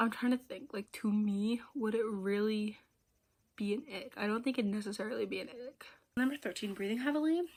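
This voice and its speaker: Her fairly high-pitched voice moves at a fairly quick pace with ordinary pitch variation as this woman speaks. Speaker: vlogger and aspiring singer. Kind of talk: casual solo chat. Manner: loud; halting, many fillers.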